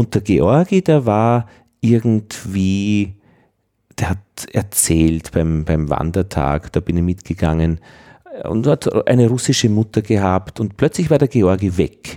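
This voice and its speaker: A very slow, fairly low-pitched man's voice with a dark, mellow tone and lively intonation, dry and close with no echo on a very clean recording with a silent background. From Upper Austria, rural. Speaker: podcast host. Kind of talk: interview.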